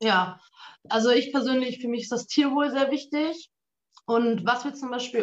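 A woman speaks at a moderate pace in a normal speaking voice, with ordinary pitch variation. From northern Germany, Münsterland. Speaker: photographer and state election candidate. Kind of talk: political discussion.

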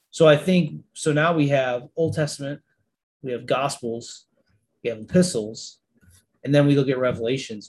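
A man with an American accent talks at a moderate pace and medium pitch. His voice is somewhat breathy. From Niagara Falls, New York. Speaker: army veteran and minister. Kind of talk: casual chat.

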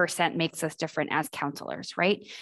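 A woman speaks with vocal fry. The background is quiet. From Boston. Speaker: admissions advisor. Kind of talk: podcast interview.

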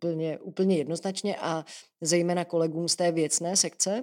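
A woman's very deep, low voice at a fairly slow pace, on a very clean recording with a silent background and a dry, close sound with no echo. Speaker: deputy education minister, teacher. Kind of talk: interview. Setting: office at a ministry.

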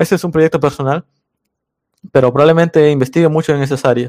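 Fairly even intonation marks a man speaking at a fairly high pitch. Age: 20s. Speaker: programming tutorial YouTuber. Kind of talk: casual interview chat. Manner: hesitant, many fillers.

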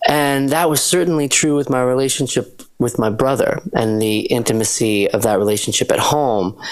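An American-accented man with an ordinary speaking voice, medium pitch, ordinary pitch variation, a moderate pace, hardly any pauses and very even loudness. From Western Massachusetts, US. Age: 30s. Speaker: singer-songwriter and producer. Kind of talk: interview.

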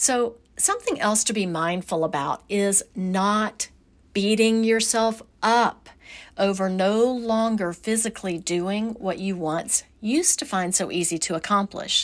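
Speaking fairly slowly, a woman uses a medium pitch with ordinary pitch variation. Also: very clean recording, silent background. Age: 50s. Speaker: podcast host, women's wellness and yoga educator. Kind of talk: casual solo podcast talk. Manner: animated, laughs often.

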